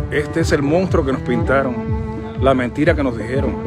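Loud music plays in the background. The speaker talks at a moderate pace in a Cuban accent. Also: man. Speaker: announcer. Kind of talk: casual talk to camera. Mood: reflective, earnest. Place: street. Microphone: phone near.

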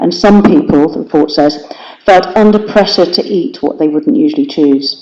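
Someone speaks at a fairly quick pace with an English accent. There is noticeable background noise. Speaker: city councillor. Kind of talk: council debate speech. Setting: council chamber meeting. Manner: fast.

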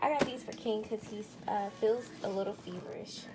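A woman is talking with music in the background. Her pace is moderate. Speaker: home vlogger. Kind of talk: casual vlog chat. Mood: cheerful, laughing. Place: kitchen. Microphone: phone near.

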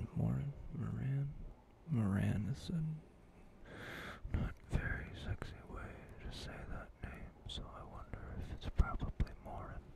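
A man whispers in a relaxed tone at a fairly slow pace, with long, frequent pauses. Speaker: ASMR creator. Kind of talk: reading a novel aloud. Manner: soft-spoken, relaxed, sleepy. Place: home room. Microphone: studio mic.

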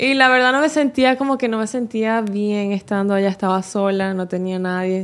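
A woman speaks at a moderate pace with ordinary pitch variation. She leaves hardly any pauses. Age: 20s. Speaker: social media dancer and content creator; content creator. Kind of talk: interview. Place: studio. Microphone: studio mic.

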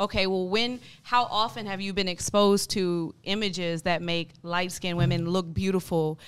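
In an American accent, a woman with a medium pitch talks at a moderate pace with hardly any pauses. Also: fairly even intonation. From United States. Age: 20s. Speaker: teacher, panel guest. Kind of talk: casual debate. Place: studio. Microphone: studio mic.

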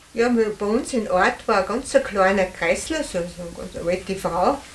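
A woman with a fairly high pitch talks at a moderate pace, her pitch variation ordinary, while noticeable background noise carries on behind her. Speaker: contemporary witness. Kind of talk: interview.

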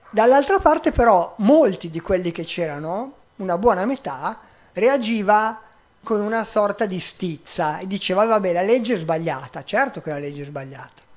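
A man with a high pitch speaks with very wide pitch swings and big swings in loudness. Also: moderate pace. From Milan, northern Italy. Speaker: migrant rights activist; guest, volunteer lawyer. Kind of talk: public talk; public talk answer. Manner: halting. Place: stage. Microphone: handheld.

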